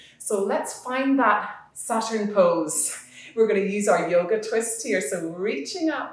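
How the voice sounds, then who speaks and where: A woman talks fairly slowly with lively intonation while noticeable background noise plays around her. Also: medium pitch for a woman. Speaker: yoga teacher. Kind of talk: children's guided yoga class. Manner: friendly, encouraging, instructional.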